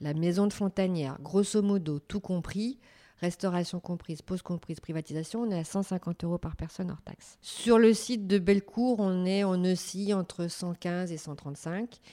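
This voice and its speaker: Speaking at a fairly slow pace, a woman with a medium pitch, ordinary pitch variation and a dark, mellow tone is heard in a very clean recording with a silent background and a dry, close sound with no echo. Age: 50s. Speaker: business owner, events venue. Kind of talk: interview. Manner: hesitant, many fillers.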